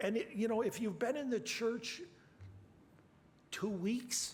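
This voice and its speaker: Audible room echo surrounds a high-pitched man talking at a moderate pace with ordinary pitch variation. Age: 70s. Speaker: preacher. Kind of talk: sermon.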